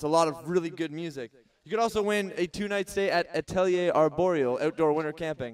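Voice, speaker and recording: Against a quiet background, a man with a Canadian accent and high pitch speaks at a fairly quick pace with ordinary pitch variation. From Southern Ontario, Canada. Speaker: festival stage MC. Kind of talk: stage hosting announcements. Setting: outdoor festival stage with audience. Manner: upbeat, playful. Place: stage.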